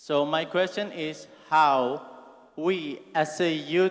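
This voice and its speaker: A man with a fairly high pitch, an Indonesian accent and ordinary pitch variation. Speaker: student asking a question. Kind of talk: audience question at conference. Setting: auditorium. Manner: reading from phone.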